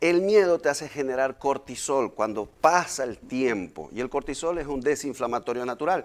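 A man talks with hardly any pauses. His pitch varies in an ordinary way. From Ecuador, Manta (coastal); Ecuador. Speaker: hypnosis therapist; guest. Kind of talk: interview. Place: studio. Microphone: lapel.

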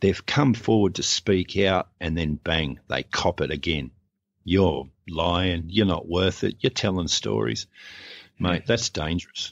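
Speaking fairly slowly with an Australian accent, a man uses a very deep, low pitch with vocal fry and lively intonation. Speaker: abuse survivor and church abuse activist. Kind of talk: personal testimony in interview. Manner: sarcastic, humorous.

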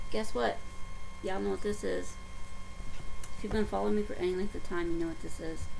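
A woman with a Southern US accent at a very fast pace, broken by long, frequent pauses, with light background noise. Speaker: stitching vlogger. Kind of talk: casual vlog update. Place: home room. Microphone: webcam.

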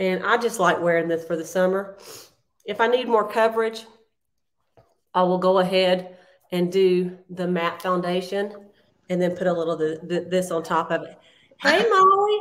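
A woman speaks in a Southern US accent with fairly even intonation. Her pace is moderate, broken by long, frequent pauses. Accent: Southern US (Georgia). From US South, South Georgia. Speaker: beauty consultant, makeup tutorial host. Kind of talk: makeup tutorial livestream, casual. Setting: video livestream. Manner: chatty, laughs often. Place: home room. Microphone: phone near.

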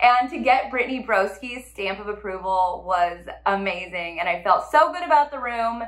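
A woman with an American accent speaks with lively intonation and big swings in loudness. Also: moderate pace, hardly any pauses. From California. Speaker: interior designer and vlogger. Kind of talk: casual vlog recap. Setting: home kitchen. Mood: upbeat, animated. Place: kitchen.

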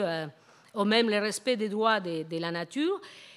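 Lively intonation marks a woman speaking with a Spanish accent against a quiet background. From Argentina. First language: Spanish (speaking French). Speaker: professor. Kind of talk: lecture. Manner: halting, many hesitations and repetitions. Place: hall. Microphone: podium.

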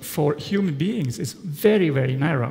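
A man speaks with ordinary pitch variation in a Swiss German accent. His pace is fairly slow. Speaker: art historian and storage consultant. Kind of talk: conference presentation. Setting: conference stage with audience. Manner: halting, with frequent fillers. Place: hall.

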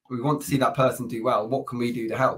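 A man talks at a fairly quick pace in a somewhat breathy voice. His intonation is fairly even, and the background is quiet. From Plymouth, south-west England; south-west England. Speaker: recruitment agency founder; podcast guest. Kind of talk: casual interview. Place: home room.

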